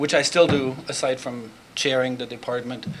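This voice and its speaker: A man with a German accent speaks with fairly even intonation amid noticeable background noise and audible room echo. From Germany. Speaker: professor. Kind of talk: conference talk. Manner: hesitant, many fillers.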